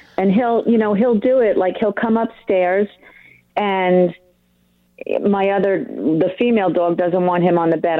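With a New York accent, a woman talks at a moderate pace. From New York (Long Island). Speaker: caller. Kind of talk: call-in radio conversation. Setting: phone call.

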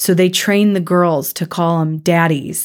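A woman with an American accent, an ordinary speaking voice, fairly low pitch, fairly even intonation and a moderate pace. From Ohio, Cleveland. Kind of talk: interview.

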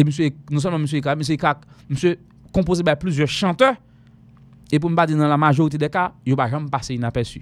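Long, frequent pauses break up a man's moderate-paced speech. He has a fairly high pitch and ordinary pitch variation. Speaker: radio host. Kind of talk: live radio show.

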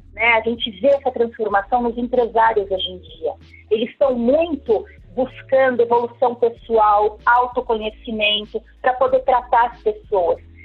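A woman with a high voice talks at a rather slow pace. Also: fairly even intonation, big swings in loudness. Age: 40s. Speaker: lawyer and entrepreneur. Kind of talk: podcast interview.

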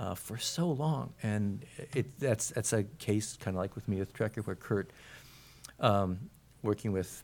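A man with a fairly low pitch talks at a fairly slow pace, leaving long, frequent pauses. His intonation is lively. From Portland, Oregon, US. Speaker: comic book artist and writer. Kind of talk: live interview. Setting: comic convention panel room.

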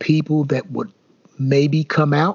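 A man with an unremarkable speaking voice, fairly high-pitched, at a fairly slow pace. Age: 60s. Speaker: podcast host and co-host. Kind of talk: casual chat about politics.

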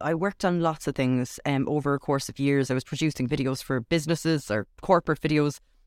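A woman with a Cork accent, very deep and low in pitch with ordinary pitch variation, at a fairly quick pace, in a dry, close sound with no echo. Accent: Cork Irish. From Ireland, Cork. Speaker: video coach. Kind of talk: interview on a live stream.

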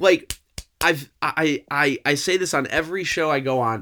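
A man with an American accent, fairly high pitch, and fairly slow pace on a very clean recording with a silent background. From US Midwest, Detroit area. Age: 30s. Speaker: wrestling podcaster and writer. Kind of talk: casual chat.

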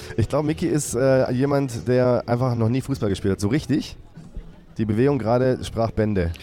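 With music in the background, a man at medium pitch speaks at a moderate pace and very even loudness. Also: ordinary pitch variation. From Stuttgart area, Germany. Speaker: podcast host. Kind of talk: casual chat.

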